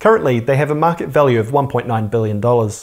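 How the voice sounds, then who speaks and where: A man speaks at a fairly quick pace with a New Zealand accent. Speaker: personal finance YouTuber. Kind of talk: scripted educational narration.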